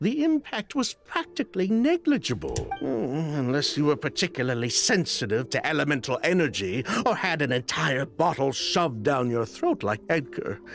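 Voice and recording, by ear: A man's put-on character voice, fairly high and fairly bright, with big pitch swings, vocal fry, few pauses and a moderate pace over faint music in the background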